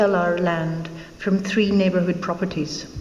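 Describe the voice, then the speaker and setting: A woman speaks at a moderate pace. Room echo is audible, and there is noticeable background noise. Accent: Scottish. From Scotland. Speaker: local election candidate. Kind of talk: campaign speech. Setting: public forum with audience. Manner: formal.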